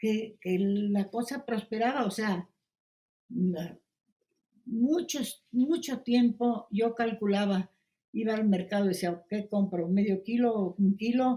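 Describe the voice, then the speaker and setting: A somewhat breathy woman speaks very slowly, with long, frequent pauses. Her fairly high voice has a dark, mellow tone and ordinary pitch variation. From Poland. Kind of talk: interview answer.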